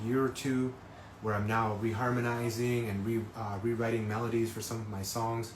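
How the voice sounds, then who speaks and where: In a room with audible echo and noticeable background noise, a man talks at medium pitch in a monotone, flat way. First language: not English. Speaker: singer-songwriter. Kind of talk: live stream talk. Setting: Instagram live stream. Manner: halting, many fillers.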